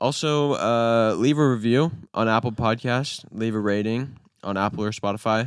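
A man talks at a moderate pace in an ordinary speaking voice, with a medium pitch. His intonation is fairly even, on a very clean recording with a silent background. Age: 20s. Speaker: podcast co-host. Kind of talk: casual chat.

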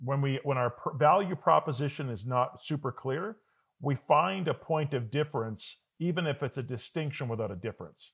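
With a Canadian accent, the speaker uses a plain, everyday voice with lively intonation at a moderate pace. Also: man, fairly high pitch for a man. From Calgary, Canada. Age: 40s. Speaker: business coach. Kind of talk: interview. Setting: video call.

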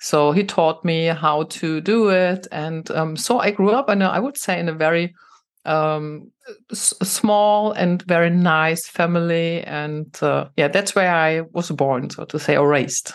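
A woman talks at a fairly slow pace with a German accent. Her pitch is fairly low, with ordinary pitch variation. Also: quiet background. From Germany, Saarland. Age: 50s. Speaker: tech executive and women's network founder. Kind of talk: interview.

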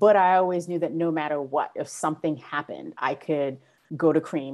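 A woman with a New York accent talks at a fairly quick pace, her very deep, low pitch carrying fairly even intonation. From Brooklyn, New York. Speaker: school diversity director and teacher. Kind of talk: interview.

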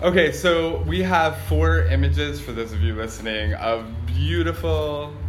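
Music playing behind a man's very deep, low voice, fairly slow in pace and ordinary in pitch variation. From New England. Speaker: podcast co-host. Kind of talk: casual banter.

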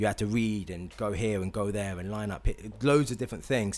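In a very clean recording with a silent background, a man speaks with a London accent. His pace is moderate and his intonation lively. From England. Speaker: podcast host. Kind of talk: casual chat. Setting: studio.

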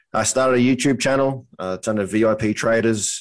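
A man at fairly low pitch and moderate pace, against a quiet background. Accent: Australian. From North Queensland, Australia. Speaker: trading educator and construction superintendent. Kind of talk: casual interview.

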